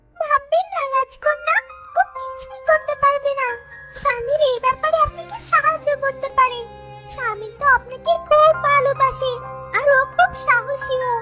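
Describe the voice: An extremely high-pitched, cartoonish character voice moves at a moderate pace. Faint music plays in the background.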